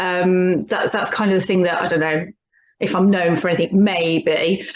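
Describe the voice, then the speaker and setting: Fairly low-pitched woman's voice with a Birmingham accent. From English Midlands, Birmingham. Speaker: hypnotherapist and coach. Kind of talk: casual interview chat. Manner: halting, many fillers and restarts.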